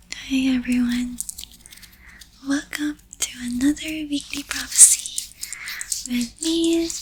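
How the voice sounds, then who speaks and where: A woman's soft-spoken whisper at a very slow pace, with long, frequent pauses and noticeable background noise. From Philippines. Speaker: tarot reader. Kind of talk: ASMR astrology reading. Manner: whispered, soft-spoken.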